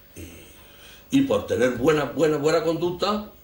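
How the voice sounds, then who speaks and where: Vocal fry marks this man's speech. His pitch rises and falls over a very wide range. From Spain. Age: 80s+. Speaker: war veteran. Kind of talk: interview testimony. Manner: halting, repetitive.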